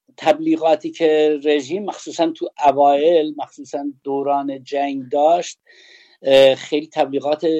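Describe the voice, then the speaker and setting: Monotone, flat intonation at a fairly slow pace. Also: man, fairly high pitch for a man. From Kurdistan, Iran (Sanandaj). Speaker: former teacher, witness. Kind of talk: personal testimony interview.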